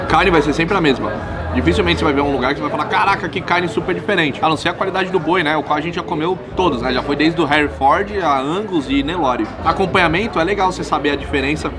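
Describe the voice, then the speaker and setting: A man at a very fast pace with hardly any pauses, over clear music in the background. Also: ordinary pitch variation. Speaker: food vlogger. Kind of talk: casual vlog chat while eating. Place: cafe. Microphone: camera far.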